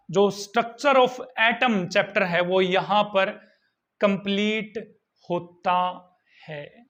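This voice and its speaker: Raised and projected, a man's voice carries a bright, sharp tone. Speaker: school science teacher. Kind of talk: lecture. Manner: repetitive teacher questioning style.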